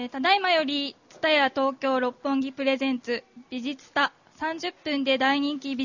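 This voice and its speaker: Her high voice holds a fairly even intonation as the woman speaks. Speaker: event MC. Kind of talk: formal event announcement. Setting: stage with audience. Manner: formal.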